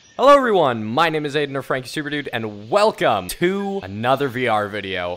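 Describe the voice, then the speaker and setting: A man's fairly high voice with lively intonation, at a moderate pace amid noticeable background noise. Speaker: gaming YouTuber. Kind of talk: gameplay commentary. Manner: casual, rambling.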